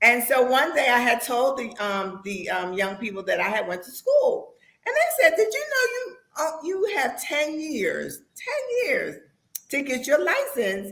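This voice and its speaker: A woman speaks at a high pitch with lively intonation. Her fairly slow delivery carries audible room echo. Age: 60s. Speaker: real estate agent. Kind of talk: interview.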